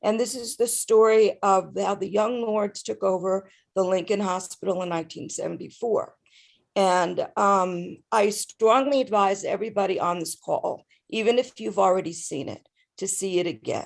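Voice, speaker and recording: In an ordinary speaking voice, a woman talks at a medium pitch and moderate pace with ordinary pitch variation against a quiet background. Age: 60s. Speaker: community activist. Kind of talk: town hall discussion.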